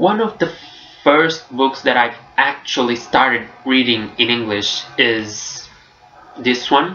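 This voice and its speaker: A man at a medium pitch, very slow pace and lively intonation, with very even loudness. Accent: Portuguese. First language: Portuguese. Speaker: book vlogger. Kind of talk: casual vlog review. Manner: hesitant, with fillers.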